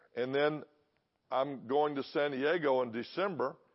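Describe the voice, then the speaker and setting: A man with a Texan accent, medium in pitch. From Texas. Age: 60s. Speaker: guest preacher. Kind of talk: sermon. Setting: church service.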